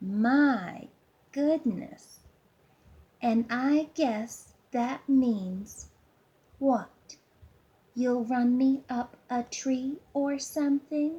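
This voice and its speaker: This is a put-on character voice with a whiny sound. It drags along at a very slow pace. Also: woman, high pitch for a woman. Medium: read story. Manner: sarcastic, smug, teasing.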